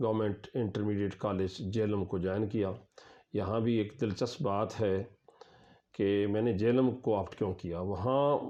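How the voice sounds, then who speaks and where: A man speaks with a dark, mellow tone. His pitch sits fairly low. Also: fairly even intonation. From Pakistan, Chakwal district, Punjab. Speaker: professor. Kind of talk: interview answer.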